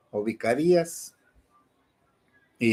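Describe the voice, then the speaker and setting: A man talks with lively intonation. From Mexico, Michoacán. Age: 60s. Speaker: priest. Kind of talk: commentary monologue. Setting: online video broadcast.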